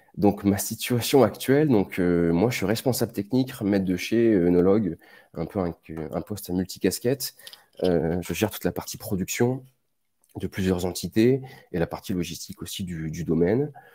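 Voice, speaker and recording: In a very clean recording over a silent background, the speech moves at a moderate pace. Its tone is dark and mellow, with ordinary pitch variation. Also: man, fairly low pitch for a man. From southern France, Var (Provence). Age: 30s. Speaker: winemaker, oenologist. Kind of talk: technical presentation. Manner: hesitant, many fillers.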